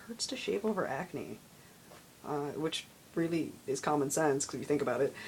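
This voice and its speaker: A man's fairly high voice at a fairly quick pace. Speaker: video blogger. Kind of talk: casual vlog. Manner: hesitant with many fillers.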